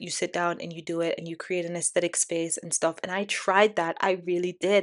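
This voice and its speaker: A woman with a Canadian accent, medium in pitch, at a fairly quick pace against a quiet background. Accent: Canadian-tinged. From Jamaica. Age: 20s. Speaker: podcast host. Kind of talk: casual monologue. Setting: home recording on laptop. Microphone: MacBook camera with a nice mic.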